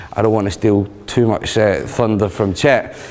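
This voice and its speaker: A man's medium-pitched voice with a strong Scottish accent, amid noticeable background noise. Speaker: tech consultant and user group leader. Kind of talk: conference talk. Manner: fast.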